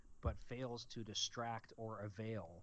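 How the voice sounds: The clip carries a natural reading voice.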